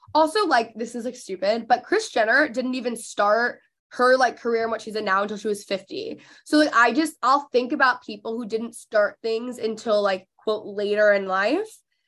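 A woman with an unremarkable speaking voice, fairly high in pitch with ordinary variation, talks at a moderate pace over a quiet background. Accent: American. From Texas (McKinney, Dallas area). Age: 20s. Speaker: podcast host and influencer. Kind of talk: casual interview chat.

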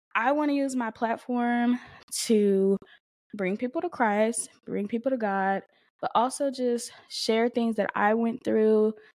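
On a very clean recording with a silent background, a woman speaks at a fairly high pitch with ordinary pitch variation. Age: 20s. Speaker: podcast host. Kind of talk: casual monologue. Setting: home recording with camera and mic. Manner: animated; laughing.

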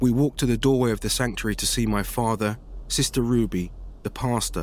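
This is an unforced reading voice. Its pitch varies in an ordinary way.

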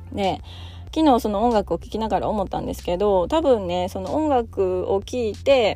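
Over background music, a woman speaks at a moderate pace, her loudness swinging widely. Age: 30s. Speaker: parenting podcast host, mother of three. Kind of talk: casual solo talk.

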